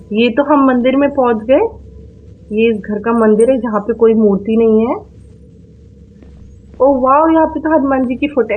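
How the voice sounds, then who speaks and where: A woman talks at a moderate pace with a high pitch, ordinary pitch variation and long, frequent pauses over noticeable background noise. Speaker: gaming YouTuber. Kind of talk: horror game voice commentary.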